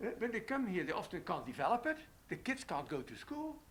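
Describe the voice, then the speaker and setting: A man with a Dutch accent at an extremely high pitch, very wide pitch swings and a fairly quick pace. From Netherlands. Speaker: economist. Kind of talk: panel interview. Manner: halting, many fillers.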